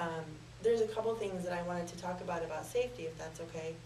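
The speaker talks at a fairly quick pace over light background noise, with audible echo in the room. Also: woman. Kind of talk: interview answer. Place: studio.

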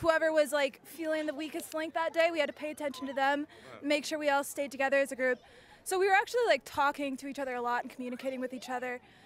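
A woman speaks very fast at a high pitch with fairly even intonation. The sound is dry with no echo, over light background noise. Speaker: interviewee. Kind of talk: interview answer. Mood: cheerful, laughing. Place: stadium. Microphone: handheld.

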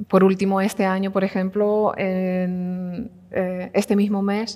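A woman's fairly even intonation over a quiet background. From Canary Islands (Tenerife); Canary Islands. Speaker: furniture and space designer. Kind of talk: talk at a design event. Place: hall. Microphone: headset.

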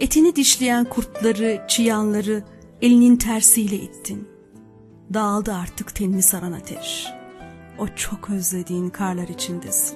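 With music in the background, a woman talks at a fairly slow pace in a medium pitch with ordinary pitch variation. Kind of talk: poetry reading.

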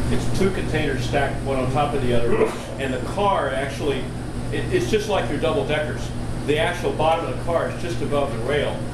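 Over loud background noise and audible room echo, a man speaks at a fairly quick pace. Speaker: presenter. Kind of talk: informal talk discussion answer. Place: hall. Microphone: camera far.

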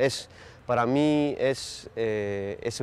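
The speaker is a man. He varies his pitch in an ordinary way. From Netherlands and Greece. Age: 40s. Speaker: journalism lecturer and foreign correspondent. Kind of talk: interview. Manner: halting, many hesitations and repetitions.

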